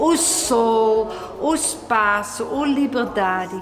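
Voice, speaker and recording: With noticeable background noise and audible room echo, a woman speaks with lively intonation. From Netherlands. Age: 60s. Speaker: flower grower and immigrant. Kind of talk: documentary interview. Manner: halting.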